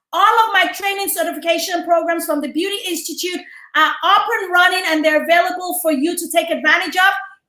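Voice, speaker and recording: In a Nigerian accent, a woman uses a raised, projected voice at an extremely high pitch. Her tone is bright, sharp and animated, and there is audible room echo. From Nigeria, Lagos. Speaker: entrepreneur and public speaker. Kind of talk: interview. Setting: studio.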